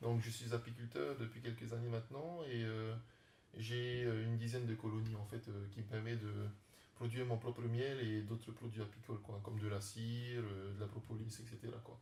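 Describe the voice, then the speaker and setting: A man's dark, mellow, somewhat breathy voice at a medium pitch, in a flat monotone at a moderate pace. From French Polynesia (Tahiti). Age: 30s. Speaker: startup founder and beekeeper. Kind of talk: interview. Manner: halting, many fillers.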